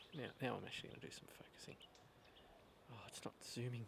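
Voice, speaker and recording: A man whispers at a fairly quick pace. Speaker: vlogger. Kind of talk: casual monologue to camera. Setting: outdoors. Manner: soft-spoken; halting.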